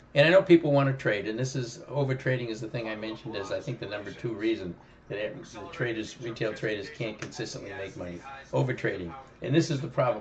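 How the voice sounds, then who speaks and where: A man's medium-pitched voice at a very fast pace, with lively intonation, big swings in loudness and noticeable background noise. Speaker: options trading educator. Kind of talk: live trading commentary. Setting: live stream. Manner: halting, repeats words.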